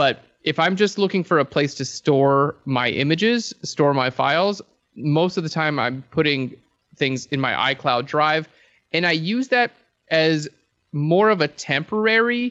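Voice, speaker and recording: A plain, everyday voice from a man, fairly high in pitch, with lively intonation at a fairly slow pace. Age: 30s. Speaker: photography educator. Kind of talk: casual interview.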